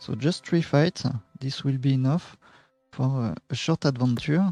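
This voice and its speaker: A speaker with a French accent uses ordinary pitch variation. The tone is dark and mellow, and the sound is dry and close with no echo. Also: man, fairly high pitch for a man. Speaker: game tutorial streamer. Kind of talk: tutorial. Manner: halting, many fillers.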